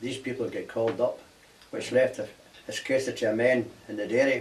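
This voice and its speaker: A man with a Glaswegian accent talks at a fairly quick pace with a medium pitch. His intonation is monotone and flat, with noticeable background noise. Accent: Glaswegian Scottish. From Scotland, Glasgow. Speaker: war veteran. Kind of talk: oral history interview.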